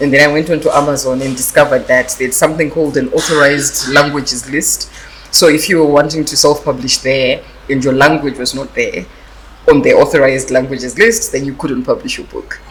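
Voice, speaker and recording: Noticeable noise sits behind the voice. The delivery is fairly quick. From Zimbabwe, Masvingo. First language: Shona (Karanga dialect). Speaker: author, publisher and lawyer. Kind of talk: interview. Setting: arts festival event. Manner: hesitant, many fillers.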